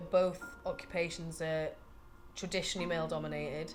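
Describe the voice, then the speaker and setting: A woman's fairly low voice in a Geordie accent, at a moderate pace with ordinary pitch variation and music in the background. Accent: Geordie (Tyneside). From northern England, Newcastle (Gosforth). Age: 30s. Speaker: butcher. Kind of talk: documentary interview. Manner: hesitant, with fillers.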